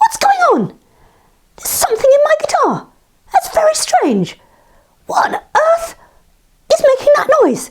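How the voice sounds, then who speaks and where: Using a put-on character voice, a woman squeaks at an extremely high pitch with very wide pitch swings and long, frequent pauses. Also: moderate pace. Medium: read story.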